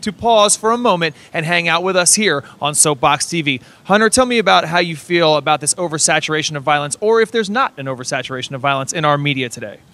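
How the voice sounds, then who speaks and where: A man talks at a very fast pace, loud, with a bright, sharp tone and lively intonation. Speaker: street interview host. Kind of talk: street interview. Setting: outdoors. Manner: animated.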